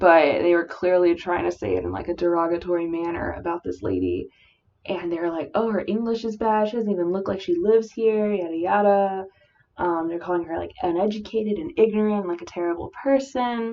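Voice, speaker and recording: A woman mumbles at a fairly quick pace. Her voice is fairly low with ordinary pitch variation. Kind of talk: casual talk to camera. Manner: mumbled.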